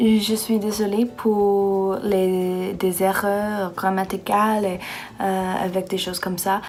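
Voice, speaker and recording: A woman at medium pitch, very slow and monotone in flat intonation, with music in the background and audible room echo. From United States. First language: English (speaking French). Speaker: exchange student vlogger. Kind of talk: casual vlog rant. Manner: halting, many fillers.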